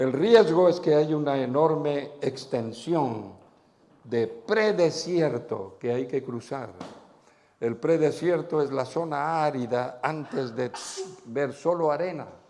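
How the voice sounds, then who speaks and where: A man with a fairly high pitch, ordinary pitch variation and a dark, mellow tone, at a very slow pace, with audible room echo. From Spain. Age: 70s. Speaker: pastor. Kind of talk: sermon. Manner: animated.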